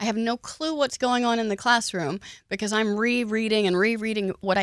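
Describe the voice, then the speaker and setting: Dry and close with no echo on a very clean recording with a silent background, a woman with a normal speaking voice talks at a moderate pace, fairly high in pitch with ordinary pitch variation. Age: 40s. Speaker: radio host. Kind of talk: radio show conversation. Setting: studio.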